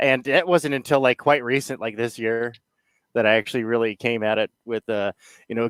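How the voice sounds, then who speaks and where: A man at medium pitch and moderate pace, with ordinary pitch variation and long, frequent pauses, in a dry, close sound with no echo. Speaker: channel host.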